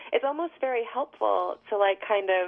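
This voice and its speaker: Using an unremarkable speaking voice, a woman with an American accent talks at a medium pitch with ordinary pitch variation. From New York City. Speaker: singer-songwriter. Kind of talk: interview.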